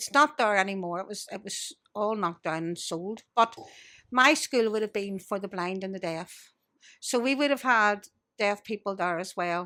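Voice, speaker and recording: On a very clean recording with a silent background, a woman with a Belfast accent speaks at a medium pitch in a bright, sharp tone, with ordinary pitch variation and big swings in loudness. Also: moderate pace. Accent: Belfast Northern Irish. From Northern Ireland, Belfast. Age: 60s. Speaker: blind guest sharing life experience. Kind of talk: casual interview chat.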